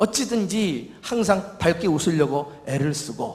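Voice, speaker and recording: Speaking in a Seoul accent, a man talks at a fairly slow pace with very wide pitch swings. There is audible room echo and noticeable background noise. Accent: Seoul Korean. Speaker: senior pastor. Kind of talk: sermon.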